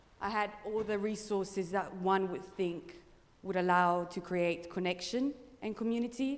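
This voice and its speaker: Audible room echo surrounds a woman at a medium pitch who speaks at a moderate pace with ordinary pitch variation. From northern Italy, Pre-Alps village. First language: Italian. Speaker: traveller and presenter. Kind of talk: conference presentation.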